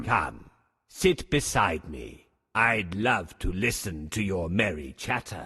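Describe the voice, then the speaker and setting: A man's cartoonish character voice, gruff and hoarse, very deep and low in pitch, at a fairly slow pace against a quiet background. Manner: sly, put-on sweetness.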